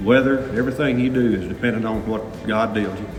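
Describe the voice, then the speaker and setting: Music plays in the background as a man with a Southern US accent speaks at a moderate pace and medium pitch. His intonation is fairly even, and room echo is audible. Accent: Southern US (Oklahoma). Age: 60s. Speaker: farmer. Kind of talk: interview testimony.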